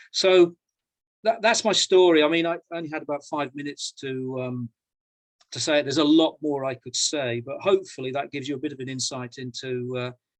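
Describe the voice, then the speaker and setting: A man with a British accent speaks at a fairly quick pace and a fairly high pitch, with ordinary pitch variation, big swings in loudness, and a dry, close sound with no echo. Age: 60s. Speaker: professor and coach. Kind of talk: personal talk in an online panel conversation. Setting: video call. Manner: halting, many repetitions.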